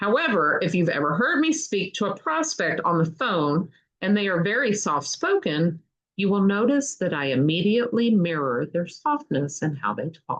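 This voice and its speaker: The speaker has a slight Kentucky accent and a moderate pace. The pitch swings very widely. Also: woman, medium pitch for a woman. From Kentucky, US South. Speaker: book reader, channel host. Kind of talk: reading aloud.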